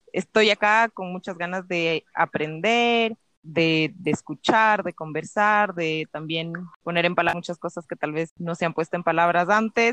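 Her voice an unremarkable speaking voice, a woman talks at a moderate pace with a fairly low pitch and ordinary pitch variation, recorded dry and close with no echo. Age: 30s. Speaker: podcast co-host. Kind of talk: casual chat.

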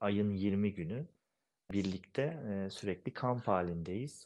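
Against a quiet background, a man with a plain, everyday voice speaks at a fairly low pitch with ordinary pitch variation. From eastern Turkey, Erzincan village. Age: 30s. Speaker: goalball player, national team captain. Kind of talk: interview.

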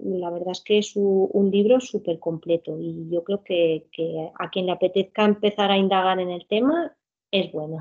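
The voice belongs to a woman speaking at a medium pitch. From Spain, Alcoy (Alicante). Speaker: physical education teacher and children's yoga teacher. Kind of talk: interview. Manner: halting, many repetitions and fillers.

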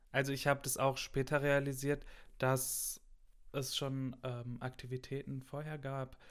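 In a very clean recording with a silent background, a man talks fairly slowly at a medium pitch with monotone, flat intonation. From Ruhr area, western Germany (Gelsenkirchen). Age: young. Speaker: university student. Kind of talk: casual chat. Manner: loud.

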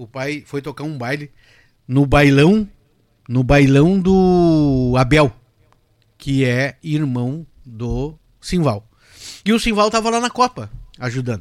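Very slow, lively-intoned speech from a fairly high-pitched man, with long, frequent pauses and big swings in loudness, in a very clean recording with a silent background. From Rio Grande do Sul, Brazil (Cruz Alta). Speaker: accordionist and lawyer. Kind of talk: casual interview. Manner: halting.

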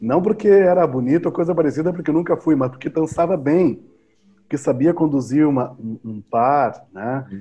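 A man speaks at a moderate pace with a fairly high pitch. His tone is dark and mellow, and his intonation is lively. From southern Brazil, Pelotas, Rio Grande do Sul. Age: 50s. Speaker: musician and educator. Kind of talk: casual interview chat.

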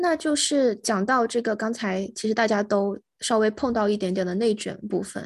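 A woman in a normal speaking voice, fairly high in pitch with ordinary pitch variation, at a moderate pace with hardly any pauses, over a quiet background. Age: young. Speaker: podcast co-host. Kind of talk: casual chat.

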